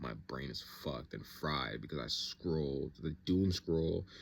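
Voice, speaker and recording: A man speaks in a very deep, low pitch. His voice has vocal fry. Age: 20s. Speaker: vlogger. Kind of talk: casual monologue vlog. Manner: fast; rambling, stream of thought.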